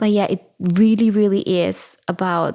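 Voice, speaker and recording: On a very clean recording with a silent background, a woman speaks at a medium pitch with fairly even intonation. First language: German. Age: 20s. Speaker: podcast host. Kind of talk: casual solo podcast.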